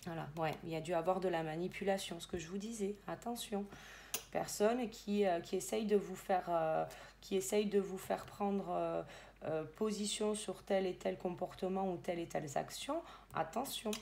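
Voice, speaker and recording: A woman talks at a moderate pace in a medium pitch. Her pitch varies in an ordinary way. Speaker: medium and tarot reader. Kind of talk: tarot reading guidance. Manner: hesitant, many fillers.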